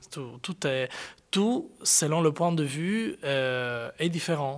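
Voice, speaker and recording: Here a man speaks very slowly with an Italian accent and a bright, sharp tone. The recording is very clean, with a silent background. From Sardinia, Italy. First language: Italian (speaking French). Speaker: contemporary dancer. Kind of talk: interview. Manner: halting.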